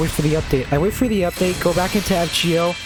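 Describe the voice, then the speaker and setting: A woman at a very fast pace, with music in the background and audible room echo. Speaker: gaming YouTuber. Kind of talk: gaming commentary. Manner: stutter; animated.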